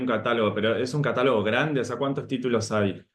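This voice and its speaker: In an Argentine accent, a man talks at a fairly quick pace and medium pitch with fairly even intonation. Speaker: moderator. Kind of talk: interview.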